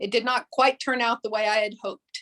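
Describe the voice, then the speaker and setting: A woman with a Texas accent speaks in a fairly high pitch. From Texas Panhandle, Amarillo. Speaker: museum director and historian. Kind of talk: presentation. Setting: video call.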